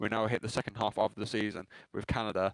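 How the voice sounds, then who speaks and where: A man's fairly low voice at a very fast pace, with a dry, close sound and no echo. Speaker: sim racing commentator. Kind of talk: live commentary. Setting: live stream. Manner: stuttering tonight.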